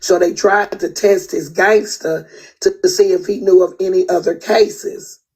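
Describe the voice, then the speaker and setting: With an American accent, a woman talks in an animated tone. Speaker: internet livestreamer, online judge show host. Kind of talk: heated livestream rant.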